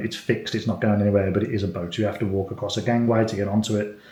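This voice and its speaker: In a room with audible echo, a man talks very fast with an English accent. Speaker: family vlogger. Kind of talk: casual chat. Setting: hotel room. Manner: soft-spoken.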